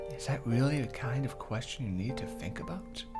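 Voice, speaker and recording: Music can be heard behind the voice. The delivery is moderately paced. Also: man. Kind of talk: visual novel read-aloud.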